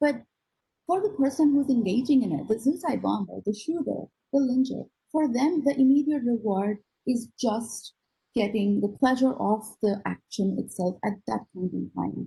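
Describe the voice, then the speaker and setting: The tone is dark and mellow, with vocal fry running through it. Intonation moves in a lively way. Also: woman, fairly high pitch for a woman, moderate pace. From India (Gujarat) and Australia (Sydney). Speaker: neuroscientist. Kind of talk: lecture. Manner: halting, many fillers.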